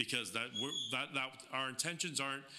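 This man has a normal speaking voice at medium pitch, with ordinary pitch variation. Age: 40s. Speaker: lowrider club liaison. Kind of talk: casual chat.

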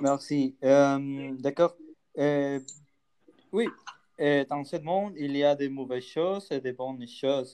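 Speaking at a very slow pace with long, frequent pauses, the voice has a dark, mellow tone, fairly even intonation and a Spanish accent. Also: man, fairly high pitch for a man. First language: Spanish (speaking French). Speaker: podcast co-host. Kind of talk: casual discussion. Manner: halting.

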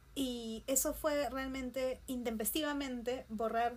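A woman's high-pitched voice, very slow and fairly even in intonation. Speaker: artist, printmaker. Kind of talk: casual chat.

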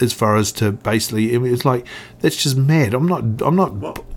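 Speaking with a New Zealand accent, a man uses a medium pitch with ordinary pitch variation. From New Zealand, Otago (Oamaru). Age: 50s. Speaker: snowboard industry veteran. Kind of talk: casual interview chat. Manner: halting, repetitive.

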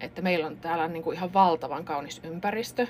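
Ordinary pitch variation marks this moderately paced speech. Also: woman. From Finland, Kuopio and central Finland. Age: 40s. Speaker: pharmacist. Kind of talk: casual interview. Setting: studio.

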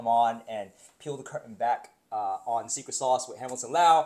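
At a moderate pace, a man with a plain, everyday voice talks at a medium pitch. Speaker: podcast host. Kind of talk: interview conversation.

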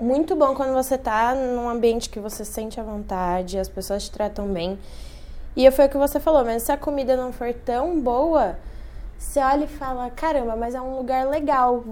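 At a moderate pace, a woman speaks in a high voice with a dark, mellow tone and ordinary pitch variation. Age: 20s. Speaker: journalist and podcast co-host. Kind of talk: casual chat.

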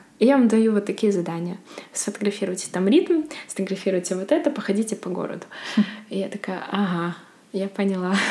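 Over noticeable background noise, a woman with a medium pitch and ordinary pitch variation talks very fast, with long, frequent pauses. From Belarus, Bykhov near Mogilev. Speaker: photographer. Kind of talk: interview conversation.

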